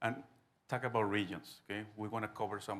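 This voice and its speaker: With a Spanish accent, a man speaks at a moderate pace in a bright, sharp tone and a fairly low pitch. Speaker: business association president. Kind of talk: conference talk.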